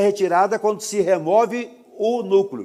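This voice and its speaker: A man is talking at a moderate pace. His voice sits at a high pitch. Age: 70s. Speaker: lecturer. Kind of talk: lecture. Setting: auditorium with audience.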